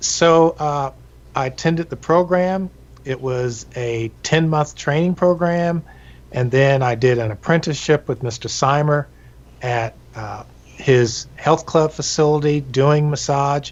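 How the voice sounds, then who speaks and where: Speaking at a fairly slow pace and fairly high pitch, a man has an unremarkable speaking voice with ordinary pitch variation. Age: 60s. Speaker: massage therapist. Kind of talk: interview. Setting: live stream.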